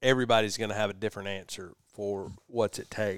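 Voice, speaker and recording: The recording is very clean, with a silent background. A man with a fairly low pitch talks with a Southern US accent. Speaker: podcast host. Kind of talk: casual chat. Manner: laughing, relaxed.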